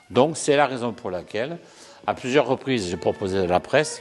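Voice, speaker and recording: A man with a Languedoc accent at medium pitch, very wide pitch swings, a moderate pace and music in the background. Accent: southern French (Languedoc). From southern France, Languedoc. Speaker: real estate association president. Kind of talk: interview answer. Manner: halting, frequent repetitions.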